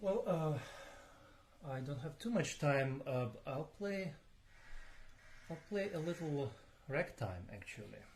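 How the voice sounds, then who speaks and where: Pausing long and often, a man talks at a very slow pace in a fairly high, somewhat breathy voice. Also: lively intonation. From Ukraine. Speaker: pianist. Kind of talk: live stream talk between pieces. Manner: hesitant, many fillers and repeats. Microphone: voice too quiet, moves closer to mics.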